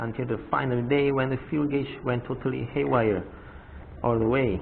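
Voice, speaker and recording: There is audible room echo and noticeable background noise. A man talks at a moderate pace with ordinary pitch variation. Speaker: motorcycle vlogger. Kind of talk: tutorial.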